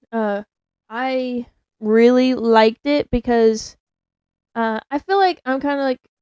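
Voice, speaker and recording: Very slowly, a woman speaks with a high pitch and a dark, mellow tone, leaving long, frequent pauses. The sound is dry and close, with no echo. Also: ordinary pitch variation. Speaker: podcast co-host. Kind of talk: casual chat. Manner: hesitant, filler-heavy.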